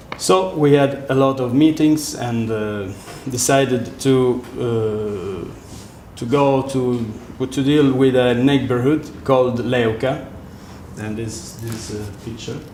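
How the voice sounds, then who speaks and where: Amid noticeable background noise and audible room echo, a man with an Italian accent speaks at a very slow pace and medium pitch, with ordinary pitch variation and big swings in loudness. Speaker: architect. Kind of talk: lecture. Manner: halting.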